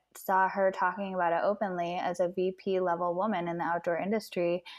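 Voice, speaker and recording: Here is a woman with an American accent. Her pitch is medium. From US Midwest, Chicago suburbs. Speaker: outdoor industry partnership manager. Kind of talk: casual interview. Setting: home living room.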